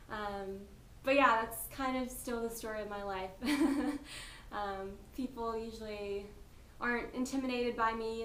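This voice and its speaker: A woman with an American accent talks at a fairly slow pace in a fairly high pitch, her intonation flat and monotone, with noticeable background noise and audible room echo. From US, North Carolina. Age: 20s. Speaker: interviewee. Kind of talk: interview.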